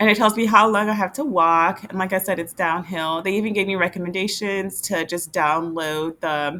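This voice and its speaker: Her tone animated and her pitch medium with ordinary variation, a woman talks with hardly any pauses. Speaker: retired travel vlogger. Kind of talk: casual screen-share vlog. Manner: fast.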